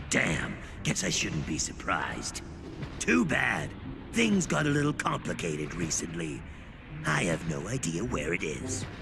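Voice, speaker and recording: A cartoonish character voice moves at a moderate pace with long, frequent pauses. Loud background noise runs underneath. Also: man, very deep, low pitch for a man. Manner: gruff, dismissive.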